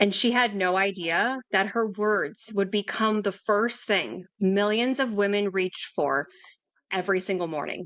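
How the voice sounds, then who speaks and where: A woman talks in a normal speaking voice at a medium pitch, fairly slowly. Her pitch variation is ordinary, and the background is quiet. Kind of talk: podcast intro narration.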